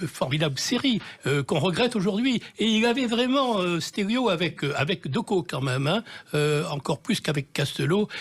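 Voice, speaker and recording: A man with a Marseille accent talks with very wide pitch swings. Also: very clean recording, silent background. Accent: southern French (Marseille). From Marseille, southern France. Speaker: TV director and novelist. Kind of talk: radio interview. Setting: radio studio. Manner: hesitant, many fillers.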